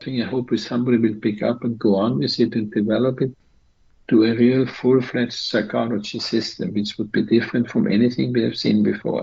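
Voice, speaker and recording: A man of medium pitch speaks at a fairly quick pace with vocal fry. His intonation is fairly even. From Austria, Vienna. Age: 80s+. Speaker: psychologist. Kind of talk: interview.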